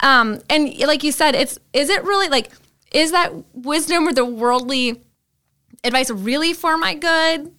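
With an Upper Midwest accent, a woman projects her high, bright, sharp voice at a fairly slow pace, keeping her loudness very even and her pitch variation ordinary. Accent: Upper Midwest American. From Green Bay, Wisconsin. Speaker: church staff member. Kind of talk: casual chat.

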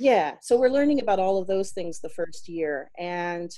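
A woman with an American accent talks at a moderate pace in a dark, mellow tone. The background is quiet. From US South (South Carolina). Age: 40s. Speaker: life coach and English teacher. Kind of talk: casual interview chat.

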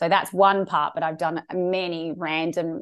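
A woman with an Australian accent speaks at a fairly low pitch and a fairly slow pace, her intonation fairly even. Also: quiet background. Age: 40s. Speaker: sex therapist. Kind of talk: interview.

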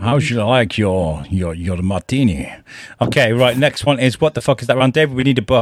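A man talks fairly quickly in a normal speaking voice at medium pitch, with lively intonation. The sound is dry and close, with no echo. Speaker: podcast co-host. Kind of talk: casual chat.

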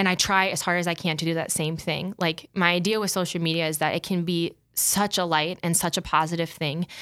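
A woman with an American accent speaks at a fairly low pitch and a fairly quick pace, in a monotone, flat intonation with hardly any pauses. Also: very clean recording, silent background. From US Midwest, South Dakota. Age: 20s. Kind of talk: casual interview chat.

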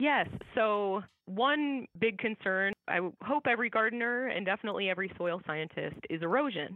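A woman's plain, everyday voice at medium pitch, with lively intonation and a moderate pace. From US Midwest (Iowa). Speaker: soil scientist. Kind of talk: interview.

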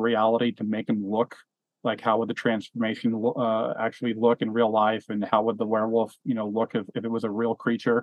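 This man has a normal speaking voice, medium in pitch, and talks at a fairly quick pace. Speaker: film podcast host. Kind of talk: casual chat.

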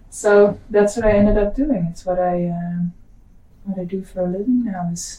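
With a Dutch accent, a woman speaks at a moderate pace in a somewhat breathy voice with fairly even intonation. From Netherlands. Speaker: psychedelic guide. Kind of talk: casual chat.

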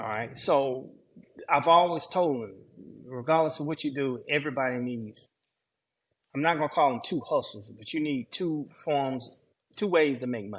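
The man talks with a Southern US accent at a moderate pace and with ordinary pitch variation. His speech has long, frequent pauses over a quiet background. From Georgia, US South. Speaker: landscaper. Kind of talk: casual chat.

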